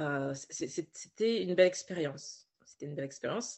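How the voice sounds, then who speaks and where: With ordinary pitch variation, a woman talks at a fairly slow speed. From Paris region, France. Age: 20s. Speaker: novelist and writing coach. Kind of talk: interview. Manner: hesitant, with fillers and repetitions.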